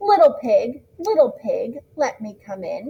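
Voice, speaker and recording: In a put-on character voice, a woman growls at an extremely high pitch and a fairly slow pace. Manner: coaxing.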